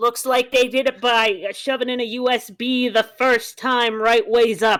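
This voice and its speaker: A woman speaks in a high pitch with a Canadian accent. Her intonation is monotone and flat, and her pace is fairly slow. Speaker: video game streamer. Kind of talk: casual chat on a game stream.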